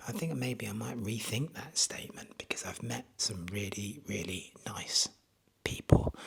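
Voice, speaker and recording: Whispering with an English accent, a man speaks at a fairly slow pace with big swings in loudness. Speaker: travel vlogger. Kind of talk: casual vlog monologue. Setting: outdoors; retreat bedroom at night. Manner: hesitant with fillers.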